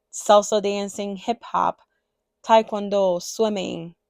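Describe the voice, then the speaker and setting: A woman with a Spanish accent on a very clean recording with a silent background, dry and close with no echo. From Dominican Republic, Santiago. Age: 30s. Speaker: cross-stitch designer and video creator. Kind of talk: personal introduction vlog, partly read aloud. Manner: partly reading from a script.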